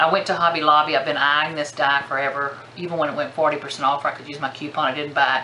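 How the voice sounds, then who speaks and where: A woman's very deep, low voice at a very fast pace, with noticeable background noise and audible room echo. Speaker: crafting vlogger. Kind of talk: casual product haul show-and-tell. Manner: animated.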